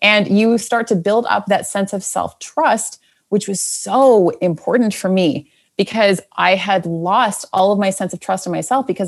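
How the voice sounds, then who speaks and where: Recorded very cleanly with a silent background, an unremarkable speaking voice keeps a moderate pace and ordinary pitch variation. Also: woman. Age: 30s. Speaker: podcast coach. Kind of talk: interview.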